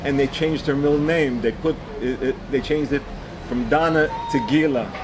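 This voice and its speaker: Noticeable background noise sits under a man's fairly high-pitched voice. He keeps a moderate pace with fairly even intonation. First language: Yiddish. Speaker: bereaved father. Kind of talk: interview testimony. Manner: halting, many repetitions.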